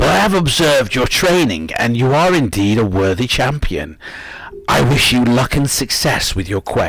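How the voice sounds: Using a put-on character voice, a man sounds strained at a medium pitch, swinging very widely in pitch at a moderate pace over light background noise.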